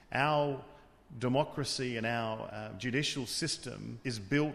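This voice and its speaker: A man with an Australian accent talks with fairly even intonation. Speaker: tribunal official. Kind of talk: interview.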